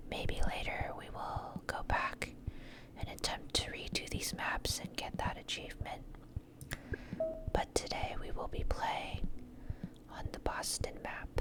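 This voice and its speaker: Whispered words come at a fairly slow pace, broken by long, frequent pauses, while noticeable background noise runs underneath. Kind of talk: ASMR gameplay commentary.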